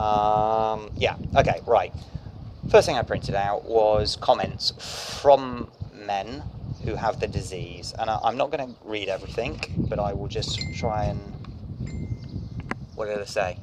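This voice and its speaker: Noticeable background noise sits behind a man with a fairly low pitch and fairly even intonation. He speaks at a fairly slow pace with long, frequent pauses. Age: 40s. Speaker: video blogger with chronic illness. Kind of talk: vlog monologue with reading aloud.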